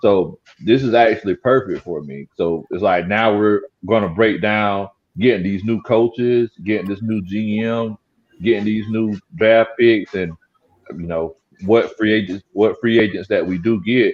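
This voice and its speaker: Speaking at a fairly slow pace, a man with a strong Southern US accent has a fairly low pitch and ordinary pitch variation. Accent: Southern country accent, strong. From South Carolina Lowcountry (Gullah Geechee). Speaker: sports YouTuber, football commentator. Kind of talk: casual sports talk livestream. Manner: trying to speak clearly.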